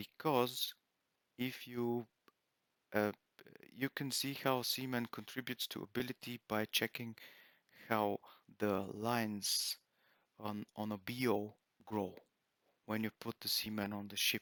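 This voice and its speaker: In a very clean recording with a silent background and a dry, close sound with no echo, a man with a non-native accent speaks in a bright, sharp tone, his intonation monotone and flat and broken by long, frequent pauses. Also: medium pitch for a man, fairly slow pace. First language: not English. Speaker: gaming video creator. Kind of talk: gameplay commentary. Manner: halting, many fillers.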